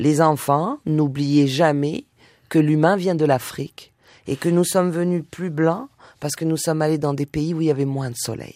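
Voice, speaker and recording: On a very clean recording with a silent background, a woman with a very deep, low pitch and a dark, mellow tone speaks at a moderate pace. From southern France, Nice. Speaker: singer and musician. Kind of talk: radio interview.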